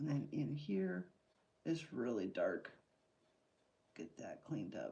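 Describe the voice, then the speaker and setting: Soft-spoken, a woman talks at a very slow pace. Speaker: artist livestreamer. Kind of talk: live painting stream commentary.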